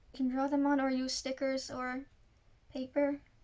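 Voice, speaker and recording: In monotone, flat intonation, a woman speaks at a high pitch. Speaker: journaling hobbyist; journaling vlogger. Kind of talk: casual tutorial voiceover. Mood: soft, friendly.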